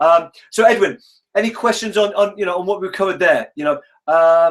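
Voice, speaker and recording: The man talks at a very fast pace. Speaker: online course coach. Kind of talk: live webinar teaching. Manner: animated.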